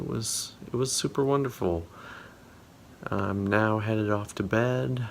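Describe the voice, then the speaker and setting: Over noticeable background noise, a man with a fairly low pitch and lively intonation talks at a fairly slow pace, leaving long, frequent pauses. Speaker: vlogger and poker player. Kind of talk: casual vlog. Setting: outdoors at a rest stop.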